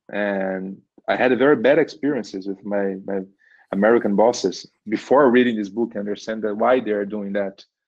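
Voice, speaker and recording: Speaking with a Portuguese accent, a man talks at a moderate pace in a medium-pitched voice. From Brazil. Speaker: engineering manager. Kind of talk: podcast interview.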